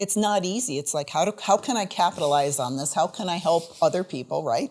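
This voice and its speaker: A woman with an American accent uses a normal speaking voice, fairly low in pitch, with lively intonation. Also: fairly quick pace. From New York State. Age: 60s. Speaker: podcast host, former model. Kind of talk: interview conversation.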